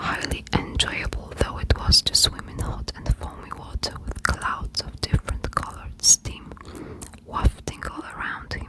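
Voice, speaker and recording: Whispering in a soothing tone at a fairly slow pace, the voice sits over noticeable background noise. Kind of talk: whispered audiobook-style reading for ASMR. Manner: whispered, close-mic, soothing.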